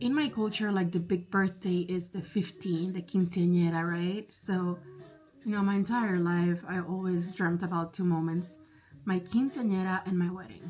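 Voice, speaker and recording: A woman with a Spanish accent talks in an animated tone. Her pitch is medium and her pace moderate. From Spanish-speaking background. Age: 30s. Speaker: vlogger. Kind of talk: casual chat. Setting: bedroom, doing makeup at vanity. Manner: chatty, animated.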